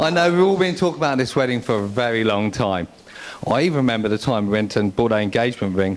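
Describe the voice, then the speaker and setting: The pace is fairly quick, with very wide pitch swings. Noticeable background noise runs underneath. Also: man. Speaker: best man. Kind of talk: wedding speech. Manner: fast; halting.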